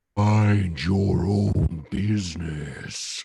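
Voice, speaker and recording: Using a put-on character voice, a man speaks with a very deep, low pitch and fairly even intonation. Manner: scary, menacing.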